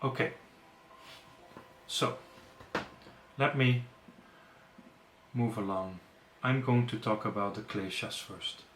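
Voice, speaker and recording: Speaking at a very slow pace with long, frequent pauses, a man with a non-native accent is heard amid audible room echo. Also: medium pitch for a man, ordinary pitch variation. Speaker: yoga teacher. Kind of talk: webinar lecture. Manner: hesitant, with fillers and self-corrections.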